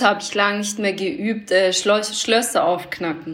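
A woman with an Austrian accent, medium-pitched, at a moderate pace with ordinary pitch variation and audible room echo. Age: 30s. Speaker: fashion designer and DJ. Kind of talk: casual chat. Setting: remote call.

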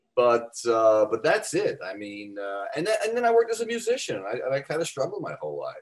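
This man's pitch swings very widely. His pace is fairly quick. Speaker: fitness author. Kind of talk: casual interview.

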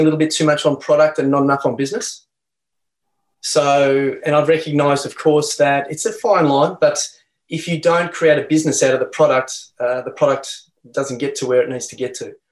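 A man talks at a fairly quick pace with an Australian accent. His pitch sits fairly high. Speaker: health practitioner and company founder. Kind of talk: interview. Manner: calm.

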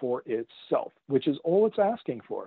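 A man with a Canadian accent and a normal speaking voice, lively intonation, fairly slow pace. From Canada. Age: 50s. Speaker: author. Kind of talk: interview.

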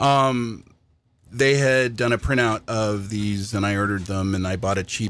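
A man speaks at a moderate pace with ordinary pitch variation. His is an unremarkable speaking voice. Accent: American. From Washington State, US. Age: 50s. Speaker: puzzle hobbyist co-host. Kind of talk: casual chat. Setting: on-camera video recording.

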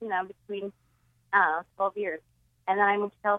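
A woman speaks with an American accent. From Boston area, Massachusetts. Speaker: comedian guest. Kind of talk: casual chat.

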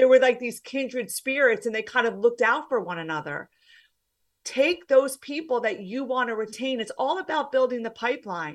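Over a quiet background, a woman speaks at a moderate pace in a high pitch with lively intonation. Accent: New Jersey. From US, New Jersey. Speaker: former banker turned career coach. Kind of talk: interview conversation.

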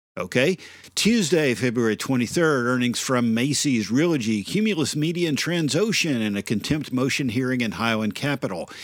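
With a normal speaking voice, a man at a medium pitch speaks at a moderate pace with lively intonation and very even loudness. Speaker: financial reporter. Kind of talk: news reading.

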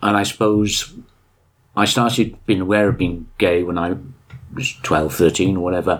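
Speaking at a moderate pace with a very deep, low voice, a man keeps his intonation fairly even and leaves long, frequent pauses. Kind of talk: interview.

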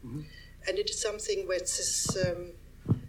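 A German accent at a moderate pace, with audible room echo and noticeable background noise. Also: woman. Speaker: artist photographer. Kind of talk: public talk. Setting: stage with audience. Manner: halting.

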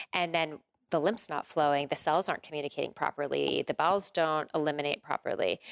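A woman at a very fast pace, very deep and low in pitch, with fairly even intonation and a dry, close sound with no echo, in a very clean recording with a silent background. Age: 40s. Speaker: women's coach and yoga teacher. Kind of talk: interview conversation.

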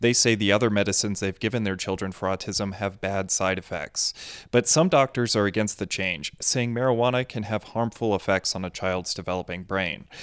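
Using a plain, everyday voice, a man speaks fairly low and at a fairly quick pace with ordinary pitch variation, in a very clean recording with a silent background. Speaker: capital coverage news reporter. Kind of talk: news reading, scripted report. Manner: formal, measured, steady news delivery.

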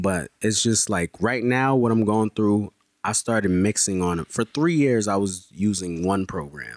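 Recorded very cleanly against a silent background, a man with an American accent and an unremarkable speaking voice talks at a fairly slow pace and fairly low pitch, the sound dry and close with no echo. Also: ordinary pitch variation. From Haiti, then Bridgeport Connecticut. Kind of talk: casual chat, podcast interview.

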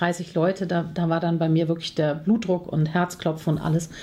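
A woman with an unremarkable speaking voice and a fairly low pitch talks at a moderate pace. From Germany, Cologne. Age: 40s. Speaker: confidence coach and speaker. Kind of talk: podcast interview.

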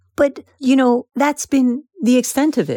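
A woman with a Persian accent speaks at a fairly slow pace in a high voice with a dark, mellow tone. The sound is dry and close, with no echo. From Iran. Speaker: author. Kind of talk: interview.

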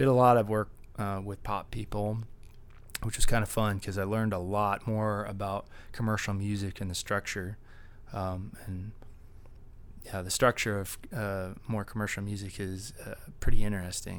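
A man's fairly low, monotone voice with an American accent, a moderate pace, long and frequent pauses, and big swings in loudness. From Texas, Dallas. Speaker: DJ and music producer. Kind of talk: casual interview chat. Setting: at a music festival.

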